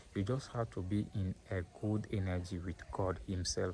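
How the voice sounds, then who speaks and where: Fairly low and somewhat breathy, this man's dark, mellow voice moves at a moderate pace with fairly even intonation. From Nigeria, then French-speaking country. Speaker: vlogger. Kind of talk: personal vlog monologue. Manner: halting, many repetitions and fillers.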